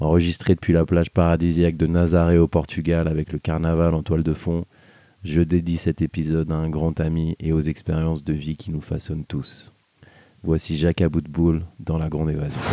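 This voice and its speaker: A man speaks in a very deep, low pitch with a dark, mellow tone and monotone, flat intonation. The sound is dry and close, with no echo. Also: moderate pace. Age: 30s. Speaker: podcast host. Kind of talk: casual conversation. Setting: outdoors on a beach.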